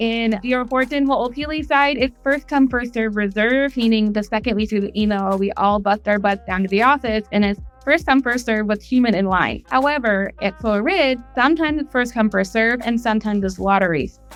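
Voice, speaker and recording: Music plays in the background as the speaker talks at a fairly quick pace in an upbeat tone, with very even loudness and ordinary pitch variation. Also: woman, fairly high pitch for a woman, hardly any pauses. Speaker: real estate agent. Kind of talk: casual talk to camera. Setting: outdoors.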